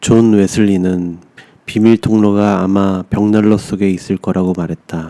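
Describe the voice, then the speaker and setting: A man's dark, mellow tone at a fairly low pitch, very slow pace and monotone, flat intonation. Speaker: audiobook narrator. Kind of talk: bedtime short story reading.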